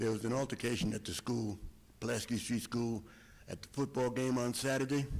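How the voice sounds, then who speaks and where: A man speaks fairly quickly with an American accent. His pitch is medium and his intonation fairly even. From US Northeast (Riverhead, Long Island). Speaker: community member at public comment. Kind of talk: public comment. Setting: school board meeting.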